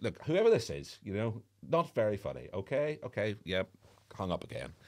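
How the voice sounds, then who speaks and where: Medium pitch from a man, on a very clean recording against a silent background. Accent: Northern Irish. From Northern Ireland, Belfast. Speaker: former radio presenter and drummer. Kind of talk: casual interview chat.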